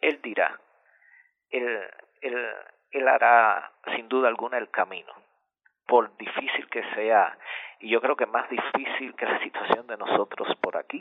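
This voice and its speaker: Speaking in a Cuban accent, a man with a medium pitch keeps a fairly slow pace and fairly even intonation, leaving long, frequent pauses. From central Cuba. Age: 40s. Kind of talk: radio interview.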